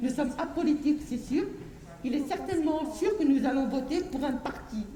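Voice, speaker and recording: Over noticeable background noise and audible room echo, a woman speaks at a moderate pace with a high pitch and ordinary pitch variation. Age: 60s. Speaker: harki descendant activist. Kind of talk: impassioned public speech.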